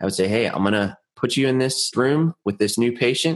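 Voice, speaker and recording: Over a quiet background, a man with a plain, everyday voice and medium pitch speaks at a fairly quick pace. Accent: American. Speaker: physical therapist and podcast co-host. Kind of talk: casual chat.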